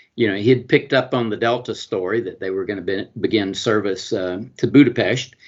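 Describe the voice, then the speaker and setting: A man with a Southern US accent and a medium pitch talks at a fairly quick pace with fairly even intonation and hardly any pauses. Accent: Southern US (Georgia). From US South, Georgia. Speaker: honorary consul and international business lawyer. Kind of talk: interview. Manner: halting, many fillers.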